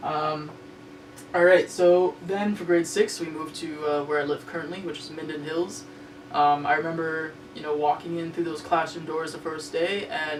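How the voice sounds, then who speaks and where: The speaker has a Canadian accent. Noticeable background noise runs underneath. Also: moderate pace. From Ontario, Canada. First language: Spanish. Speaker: web series host. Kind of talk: personal storytelling monologue. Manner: casual, hesitant with many fillers.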